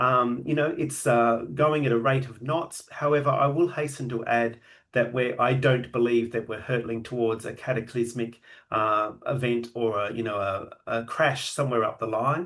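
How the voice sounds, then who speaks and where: A man with an Australian accent and a medium-pitched voice, against a quiet background. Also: fairly even intonation, moderate pace. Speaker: genealogy and AI presenter. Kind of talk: online lecture. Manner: hesitant, many filler words.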